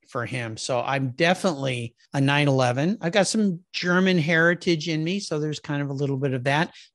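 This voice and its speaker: An unremarkable speaking voice from a man with an American accent, fairly high in pitch with ordinary pitch variation, at a fairly quick pace with hardly any pauses, over a quiet background. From Southern California, US. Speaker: automotive podcast host, marketing background. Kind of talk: casual interview chat.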